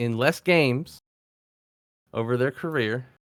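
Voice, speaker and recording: Speech at a moderate pace with ordinary pitch variation comes through a very clean recording with a silent background and a dry, close sound with no echo. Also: man. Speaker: sports podcast co-host. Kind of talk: casual debate. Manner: halting, stumbling over words.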